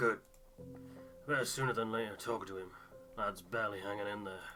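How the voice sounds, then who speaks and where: Over clear background music, a man does a put-on character voice that is raspy and fairly low, delivered at a fairly quick pace. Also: fairly even intonation. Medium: game stream.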